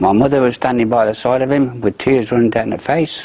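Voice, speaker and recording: The intonation is fairly even, with noticeable background noise throughout. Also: man. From English Midlands, Banbury. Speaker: war survivor. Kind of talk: testimony.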